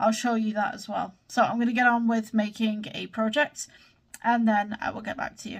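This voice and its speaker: A woman with a somewhat breathy voice speaks at a moderate pace with fairly even intonation and big swings in loudness. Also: fairly high pitch for a woman. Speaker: YouTuber making tutorials. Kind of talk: casual vlog and tutorial.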